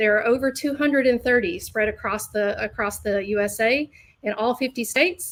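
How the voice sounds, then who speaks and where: Someone with a Southern US accent talks at a fairly quick pace with ordinary pitch variation. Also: woman. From US South, Alabama. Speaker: learning designer. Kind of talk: webinar presentation. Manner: hesitant, many fillers.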